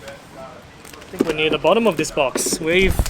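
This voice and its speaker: In an Australian accent, a woman with a fairly low pitch talks over noticeable background noise. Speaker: speedcubing YouTuber. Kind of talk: casual chat.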